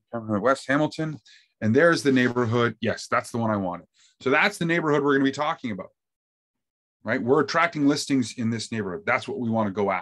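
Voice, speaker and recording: A man rattles along at a very fast pace, his intonation lively. Quiet surrounds him. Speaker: real estate marketing trainer. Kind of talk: tutorial. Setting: video call. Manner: fast talker. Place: home room.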